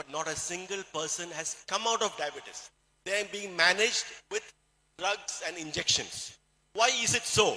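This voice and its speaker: This voice has a Keralan accent. It moves at a moderate pace with ordinary pitch variation. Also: man. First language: Malayalam. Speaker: doctor giving a health talk. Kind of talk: motivational health talk. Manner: halting.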